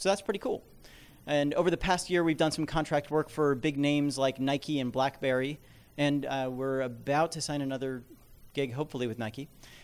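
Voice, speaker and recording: On a very clean recording with a silent background, a man with a fairly high pitch speaks at a fairly quick pace with fairly even intonation. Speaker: app developer and investor. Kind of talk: seminar talk. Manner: fast.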